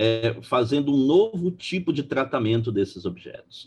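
Somewhat breathy and fairly slow, a man speaks at a medium pitch with very wide pitch swings. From Brazil, Belém, Pará. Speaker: law professor. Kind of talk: lecture-style interview.

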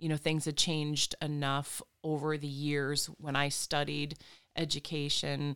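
In an Upper Midwest accent, a woman speaks with a very deep, low pitch. Her pace is fairly slow and her intonation monotone and flat. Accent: Upper Midwest American. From Michigan, Flint area. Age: 40s. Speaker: reflexologist and hypnotherapist. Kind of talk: interview.

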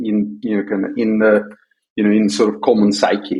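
A man speaks with a Russian accent. His pitch is fairly low. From Soviet Union. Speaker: tech entrepreneur. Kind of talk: podcast interview. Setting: remote call.

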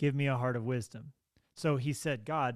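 Ordinary pitch variation and a fairly quick pace in a plain, everyday voice, captured on a very clean recording with a silent background. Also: man. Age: 30s. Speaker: pastor. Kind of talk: interview.

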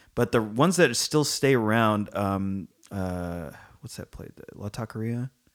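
In a Californian accent, a man with a fairly low pitch talks at a fairly slow pace, his intonation lively and his loudness swinging widely, on a very clean recording with a silent background. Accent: Californian American English. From San Francisco Bay Area. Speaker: podcast host, film critic. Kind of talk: casual chat.

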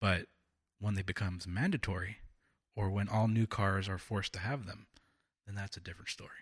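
In a very clean recording with a silent background, a man speaks at a fairly quick pace with an American accent, leaving long, frequent pauses. His fairly low, somewhat breathy voice keeps a fairly even intonation. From California. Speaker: political podcast co-host. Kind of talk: casual political discussion.

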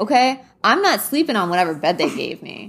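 A woman with an American accent, fairly high in pitch, with very wide pitch swings. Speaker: podcast co-host. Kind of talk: casual chat. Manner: hesitant, many fillers.

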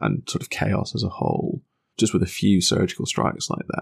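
A man's voice with vocal fry, recorded dry and close with no echo. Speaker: podcast host. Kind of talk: casual banter podcast.

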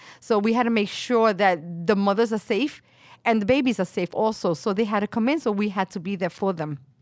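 Speaking with a New York accent at a fairly quick pace, a woman uses a medium pitch and ordinary pitch variation in a very clean recording with a silent background. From Brooklyn, New York (Williamsburg), Puerto Rican family. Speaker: medical sonographer. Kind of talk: casual interview chat.

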